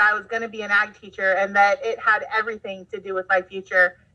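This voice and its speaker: A woman with a slight Southern US accent speaks at a fairly high pitch. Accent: slight Southern twang at times. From Southern California. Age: 20s. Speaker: agriculture teacher. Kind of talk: casual interview chat.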